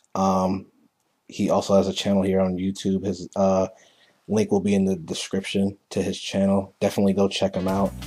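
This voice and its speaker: A man's very deep, low voice in a monotone, flat delivery at a moderate pace, with music in the background. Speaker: gaming commentator. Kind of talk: game commentary narration. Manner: casual, hesitant with fillers.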